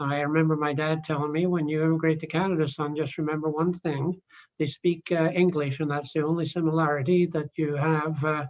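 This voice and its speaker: Fairly quick, monotone, flat delivery from a man with a fairly high pitch, in a Scottish accent. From Scotland. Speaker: committee chair. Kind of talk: meeting chairing. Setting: video call.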